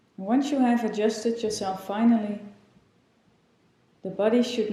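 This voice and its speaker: A woman with a fairly high pitch and fairly even intonation talks in a plain, everyday voice. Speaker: yoga teacher. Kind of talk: guided meditation. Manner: slow, calm.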